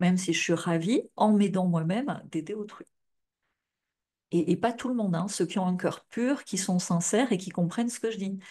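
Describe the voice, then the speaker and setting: A woman's somewhat breathy voice in a dark, mellow tone, medium in pitch with ordinary pitch variation, at a moderate pace against a quiet background. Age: 40s. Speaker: futurologist and life coach. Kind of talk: live stream talk to viewers. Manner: casual, filler-heavy.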